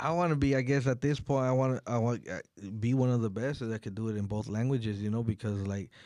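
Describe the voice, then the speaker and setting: Very fast and at a medium pitch, a man speaks in a dark, mellow tone with ordinary pitch variation. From Oxnard, California. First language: Spanish. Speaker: rapper and songwriter. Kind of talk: interview. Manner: casual, halting with many fillers.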